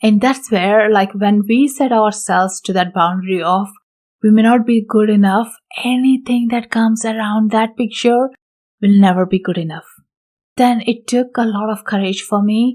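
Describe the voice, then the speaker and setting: Speaking at a moderate pace with a non-native accent, a woman keeps a fairly high pitch and fairly even intonation. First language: not English. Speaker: intuitive healer and podcast host. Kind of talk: solo podcast talk. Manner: hesitant, with many fillers.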